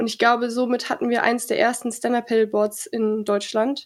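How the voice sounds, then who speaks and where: A high-pitched woman on a very clean recording with a silent background. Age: 20s. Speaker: stand-up paddle surfing athlete. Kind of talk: interview.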